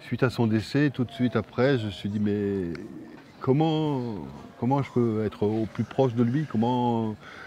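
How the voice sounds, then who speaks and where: There is noticeable background noise behind this man. His pitch is medium, with ordinary variation. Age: 50s. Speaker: film director and actor. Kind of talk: interview. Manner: halting, with repetitions.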